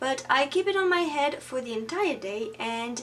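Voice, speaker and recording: A woman with a French accent, lively intonation and a very slow pace. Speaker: beauty YouTuber. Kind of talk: tutorial. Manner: halting.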